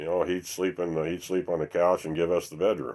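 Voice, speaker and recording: A man's very deep, low voice at a very fast pace, flat and monotone in intonation. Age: 60s. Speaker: recovering alcoholic sharing his story. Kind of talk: recovery meeting testimony. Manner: halting, many fillers.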